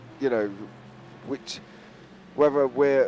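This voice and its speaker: This man's fairly high pitch shows ordinary pitch variation, with noticeable background noise behind it. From London, England. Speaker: schoolteacher and sim racing streamer. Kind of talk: casual chat on livestream. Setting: live stream during race.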